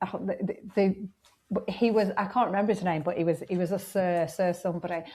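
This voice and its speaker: A woman at medium pitch with a northern English accent, fairly even intonation and a fairly quick pace. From northern England, Blackpool. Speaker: law lecturer. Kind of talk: interview. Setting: podcast.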